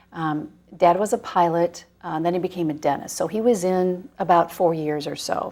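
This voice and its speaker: At a moderate speed and with ordinary pitch variation, this is an unremarkable speaking voice. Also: woman, fairly low pitch for a woman. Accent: American. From US Midwest, northern Indiana. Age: 50s. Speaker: TV news anchor and author. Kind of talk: interview.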